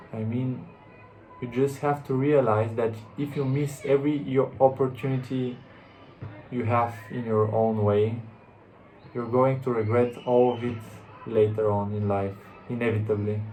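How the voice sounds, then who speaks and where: A man with a non-native accent talks at a fairly slow pace and medium pitch, with fairly even intonation and long, frequent pauses. Music plays in the background, and room echo is audible. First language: not English. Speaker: self-help vlogger. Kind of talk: motivational monologue. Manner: halting, with repetitions and restarts.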